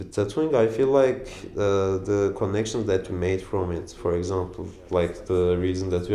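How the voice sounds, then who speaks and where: A man with a very deep, low pitch speaks at a moderate pace and fairly even intonation, with noticeable background noise and audible room echo. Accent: Turkish. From Turkey. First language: Turkish. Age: 20s. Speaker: tattoo artist. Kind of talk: documentary interview. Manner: halting, many fillers.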